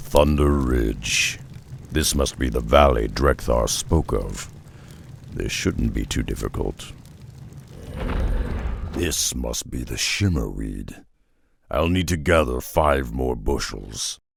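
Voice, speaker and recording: Putting on a character voice, a man speaks at a very deep, low pitch and a fairly slow pace, with long, frequent pauses. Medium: video game. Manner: terse.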